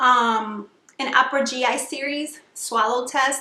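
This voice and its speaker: Noticeable background noise accompanies a woman speaking at a high pitch with fairly even intonation. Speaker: vlogger sharing weight loss surgery experience. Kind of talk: casual vlog tutorial. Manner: hesitant fillers, frequent um.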